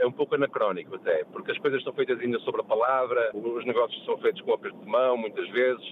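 Noticeable background noise runs under this recording. A man talks at a very fast pace. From Porto, northern Portugal. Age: 50s. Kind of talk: radio call-in chat. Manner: halting, with repetitions.

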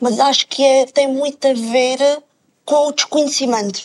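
This woman's voice sits high in pitch. Her pace is moderate. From Alentejo, Portugal. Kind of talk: TV panel discussion.

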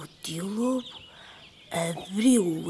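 Animated and with lively intonation, a woman of medium pitch speaks in a European Portuguese accent over noticeable background noise. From Portugal, Aveiro. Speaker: storyteller. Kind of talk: children's storytelling. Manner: animated, voices characters.

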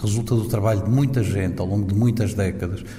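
Audible room echo and noticeable background noise are present. Through them, a man talks. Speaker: ambassador. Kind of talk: interview.

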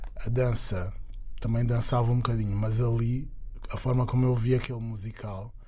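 Amid audible room echo, a man with a medium pitch speaks in a flat monotone at a moderate pace. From Angola. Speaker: singer and dancer. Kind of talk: interview.

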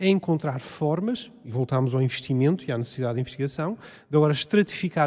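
A man with a fairly high pitch talks at a very fast pace. His tone is dark and mellow, with ordinary pitch variation. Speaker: molecular genetics researcher. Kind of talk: public panel discussion. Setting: stage with audience.

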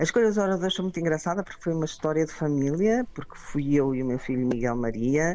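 A woman with a very deep, low pitch and a dark, mellow tone speaks at a fairly quick pace with lively intonation. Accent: Porto. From Portugal, Porto. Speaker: conference organizer. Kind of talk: radio interview.

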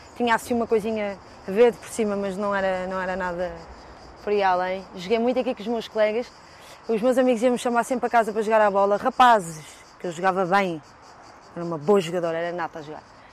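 Talking very fast with long, frequent pauses, a woman at medium pitch shows big swings in loudness and ordinary pitch variation. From Portugal, Lisbon (Chelas, Marvila). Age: 30s. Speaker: fado singer. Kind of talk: casual walking tour interview. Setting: outdoors.

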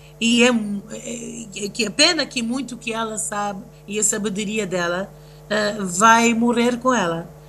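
A woman's fairly high voice, very slow, with ordinary pitch movement and noticeable background noise. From raised between the US, Tanzania and Russia; Mozambican family. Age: 50s. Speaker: singer and event producer. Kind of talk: interview, personal testimony. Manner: halting, many fillers.

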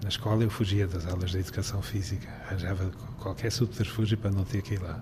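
Very fast pace with monotone, flat intonation. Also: man, fairly low pitch for a man. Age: 60s. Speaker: retired journalist with Parkinson's. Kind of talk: interview. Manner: halting.

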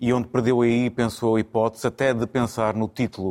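A plain, everyday voice speaks at a moderate pace. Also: man. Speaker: football pundit, FC Porto supporter. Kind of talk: studio football debate. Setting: TV studio.

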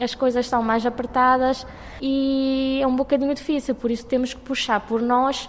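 Amid noticeable background noise, a woman speaks at a moderate pace with a high pitch. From Cape Verde, Fogo island. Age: 20s. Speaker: university student. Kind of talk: interview.

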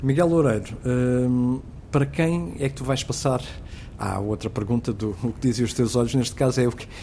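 Medium in pitch and ordinary in pitch variation, a man's speech unfolds at a moderate pace. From Portugal, south bank of the Tagus (Seixal). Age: 40s. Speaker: radio host. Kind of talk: casual interview chat. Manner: halting.

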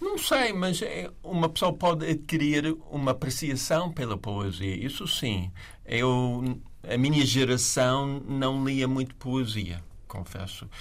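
A man speaks at medium pitch with an English accent. His intonation is lively and his pace very slow. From USA. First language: English (speaking Portuguese). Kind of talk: literary discussion.

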